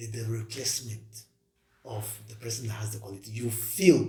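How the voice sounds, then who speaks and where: A man talks at a fairly quick pace. His tone is dark and mellow, and somewhat breathy. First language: not English. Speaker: podcast co-host. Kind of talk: casual discussion.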